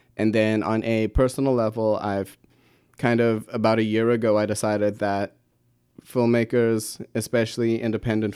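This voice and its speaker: A man talks in a dark, mellow tone at a fairly low pitch. His delivery is monotone and flat, at a moderate pace. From South Africa, Pretoria. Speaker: university student filmmaker. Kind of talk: interview.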